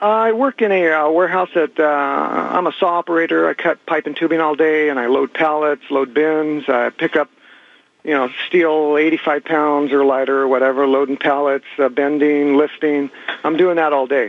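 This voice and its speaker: A man at a moderate pace, his loudness very even throughout. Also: fairly even intonation. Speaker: patient. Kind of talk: casual phone interview.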